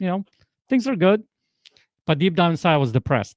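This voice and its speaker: Recorded very cleanly against a silent background, a man with a Polish accent sounds dry and close, with no echo. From Poland. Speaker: transformational coach. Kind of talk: podcast interview. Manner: animated.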